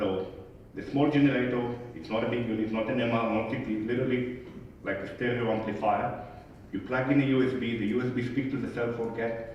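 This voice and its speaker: Speaking very fast with a non-native accent and fairly even intonation, a man is heard over noticeable background noise and audible room echo. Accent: noticeable foreign. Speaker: conference speaker, medical device service executive. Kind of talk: conference talk Q&A.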